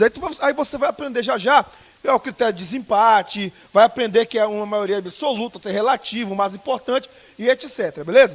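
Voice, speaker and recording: A man talks in an extremely high pitch with ordinary pitch variation at a fairly quick pace. The sound is dry and close with no echo. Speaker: teacher for civil service exam. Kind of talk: lecture. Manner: loud.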